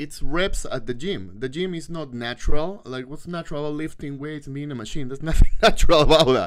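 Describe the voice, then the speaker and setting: A man with a non-native accent speaks in an animated tone at a fairly quick pace. His pitch is fairly high with ordinary variation, and his loudness swings widely. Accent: foreign accent in English. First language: not English. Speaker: host's partner appearing on live stream. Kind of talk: casual chat on live stream.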